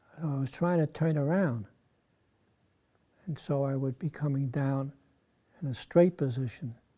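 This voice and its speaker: A man with an American accent, fairly high-pitched yet dark and mellow in tone, somewhat breathy, at a moderate pace with ordinary pitch variation and long, frequent pauses. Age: 90s. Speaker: war veteran. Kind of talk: interview.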